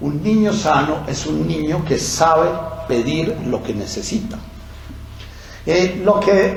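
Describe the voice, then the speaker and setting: Someone speaks at a very slow pace amid noticeable background noise and audible room echo. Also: man. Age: old. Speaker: psychiatrist and former priest giving talks. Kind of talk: lecture. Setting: talk with microphone and audience. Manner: hesitant fillers.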